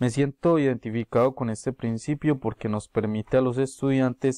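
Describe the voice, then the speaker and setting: The voice has a dark, mellow tone and fairly even intonation at a moderate pace, with a dry sound and no echo against a quiet background. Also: man. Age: 20s. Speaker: university student. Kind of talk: prepared class presentation. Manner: formal. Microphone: webcam.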